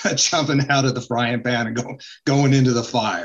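A man with an American accent speaks in a plain, everyday voice at a medium pitch. His intonation is fairly even. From US West (Utah). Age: 60s. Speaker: cancer survivor and author. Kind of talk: interview.

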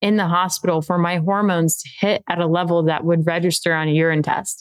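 An American-accented woman talks at a fairly quick pace. Her pitch is medium, with ordinary pitch variation. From Texas. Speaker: athlete and adaptive advocate. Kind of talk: interview testimony. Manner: nonchalant.

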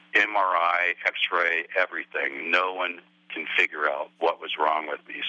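A man speaks very slowly with a very deep, low pitch. Background noise is noticeable. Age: 70s. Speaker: caller. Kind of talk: casual chat.

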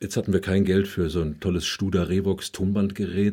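The speaker is a man with a fairly low pitch and a dark, mellow tone, going at a moderate pace. The recording is very clean, with a silent background. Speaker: rhetoric coach and audiobook narrator. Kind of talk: interview.

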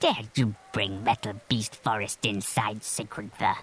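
In a put-on character voice, a man growls and rumbles at a fairly low pitch. He speaks at a fairly slow pace with fairly even intonation. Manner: grumbling.

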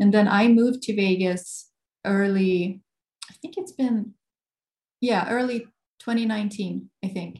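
A woman's somewhat breathy, medium-pitched voice at a very slow pace, with long, frequent pauses and ordinary pitch variation. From Sweden, Gothenburg. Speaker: guitarist. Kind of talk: interview. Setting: video call.

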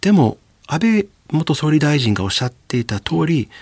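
A somewhat breathy man with fairly high pitch and very wide pitch swings talks at a moderate pace, recorded very cleanly against a silent background with a dry, close sound and no echo. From US South, Louisiana. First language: English (speaking Japanese). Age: 40s. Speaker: professor. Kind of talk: radio interview.

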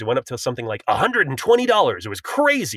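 Speaking at a fairly quick pace with lively intonation, a man has an unremarkable speaking voice, captured in a very clean recording with a silent background and a dry, close sound with no echo. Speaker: filmmaker. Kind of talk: interview.

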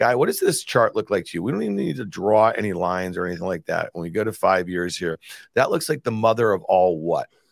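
A man with a fairly low pitch talks at a very fast pace with lively intonation. The recording is very clean with a silent background, and the sound is dry and close with no echo. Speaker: market host. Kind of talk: casual chat. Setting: studio. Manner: conversational, talkative.

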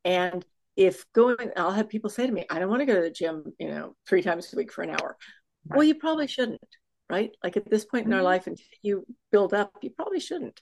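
A woman with an American accent talks at a very fast pace. Her medium-pitched voice has lively intonation. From Texas. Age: 60s. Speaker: fitness coach and author. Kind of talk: casual chat. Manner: animated.

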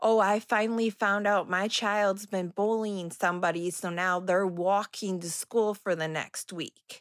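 At a fairly slow pace, a woman with a medium pitch and an unremarkable speaking voice keeps fairly even intonation, the sound dry and close with no echo. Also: very clean recording, silent background. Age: 30s. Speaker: parent of a bullied child. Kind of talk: interview.

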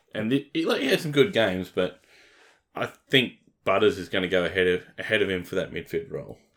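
Recorded very cleanly against a silent background, a man talks at a fairly quick pace with an Australian accent. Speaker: fantasy football podcast host. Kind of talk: casual chat.

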